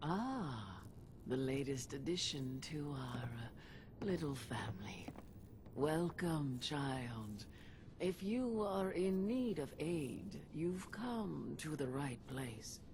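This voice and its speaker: A put-on character voice, low-to-middle in pitch and very slow, over clear background noise. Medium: video game. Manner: weary, gentle.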